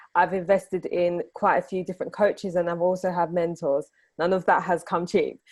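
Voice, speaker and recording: With a British accent, a woman with a fairly low pitch talks at a fairly quick pace in a monotone, flat intonation. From UK. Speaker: business podcaster, entrepreneur. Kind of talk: podcast interview.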